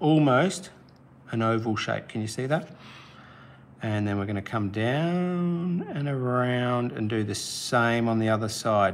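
There is noticeable background noise behind this man's voice. He speaks fairly slowly in a medium pitch with an Australian accent. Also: lively intonation. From South Australia. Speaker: art teacher. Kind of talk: live-stream drawing tutorial. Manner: casual, encouraging.

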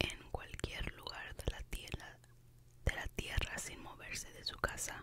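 The voice whispers at a very slow pace. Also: woman. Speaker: ASMR creator. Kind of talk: whispered ASMR book reading. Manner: whispered, soft-spoken. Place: home room. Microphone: studio mic.

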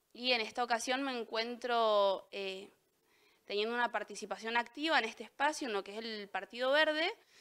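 Against a quiet background, a woman with a fairly high pitch and a bright, sharp tone speaks at a moderate pace, using ordinary pitch variation and big swings in loudness. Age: 20s. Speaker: local council candidate and student; council candidate. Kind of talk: candidate statement interview; interview answer. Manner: halting, with repetitions. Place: studio. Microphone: handheld.

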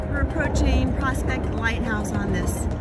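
Music sounds in the background. Over it, a woman talks. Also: dry sound with no echo. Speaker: travel vlogger. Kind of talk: casual vlog narration. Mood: cheerful, admiring. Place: waterside. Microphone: phone near.

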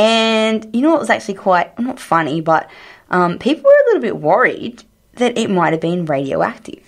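With an Australian accent, a woman speaks at a moderate pace in a fairly high voice that makes very wide pitch swings. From rural Australia. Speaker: science podcast co-host. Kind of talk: casual science chat.

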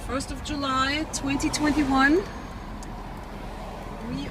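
Long, frequent pauses break up the speech, which sounds dry with no echo over noticeable background noise. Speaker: driver narrating. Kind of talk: casual commentary while filming. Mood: cheerful, smiling. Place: car. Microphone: phone near.

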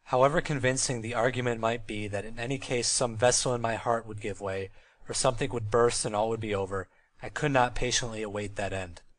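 A man's ordinary speaking voice, medium in pitch, at a fairly quick pace with fairly even intonation. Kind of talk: audiobook reading of a literary memoir.

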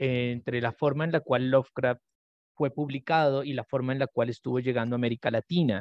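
A man's voice, dry with no echo, over a quiet background. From Colombia (Nariño); Colombia. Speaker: literature researcher; presenter. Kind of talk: academic conference talk; lecture. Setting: video call. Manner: slow. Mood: thoughtful, calm. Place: home room.

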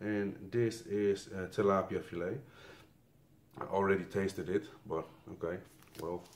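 A man's fairly low voice at a fairly slow pace, with fairly even intonation and long, frequent pauses. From Netherlands. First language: Dutch. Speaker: YouTuber reviewing military rations. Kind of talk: casual taste-test review video. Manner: halting, non-fluent English. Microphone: phone near.

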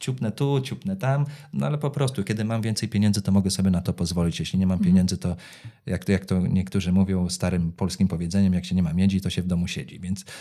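Against a quiet background, a man with a fairly low pitch and a dark, mellow tone speaks at a very fast pace. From Poland, Węgrów; Poland. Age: 30s. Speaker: psoriasis patient and foundation founder; interview guest. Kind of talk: interview. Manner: halting, repeats words. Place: studio. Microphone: studio mic.

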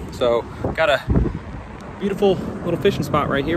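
Background noise is noticeable, and the sound is dry with no echo. A man speaks at a very fast pace. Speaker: vlogger. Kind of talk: casual vlog chat. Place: waterside. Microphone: phone near.

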